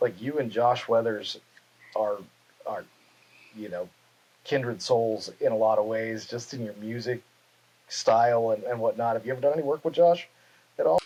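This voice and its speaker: With long, frequent pauses, a man at medium pitch talks at a moderate pace with ordinary pitch variation. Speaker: podcast host. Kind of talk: casual interview questions.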